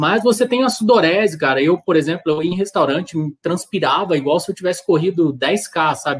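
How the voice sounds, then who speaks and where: Lively intonation and a fairly quick pace mark a man's high-pitched voice. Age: 30s. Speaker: amateur marathon runner and social media creator. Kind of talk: casual chat. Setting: live video stream.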